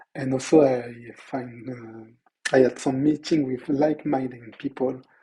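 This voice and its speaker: Speaking at a very slow pace, a man's somewhat breathy voice has a dark, mellow tone and a medium pitch. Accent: non-native. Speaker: entrepreneur and web developer. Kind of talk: video diary; tutorial. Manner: halting.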